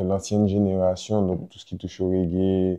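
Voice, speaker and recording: The speaker is a man with a very deep, low pitch. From Martinique (La Trinité). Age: 20s. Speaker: rapper. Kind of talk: interview.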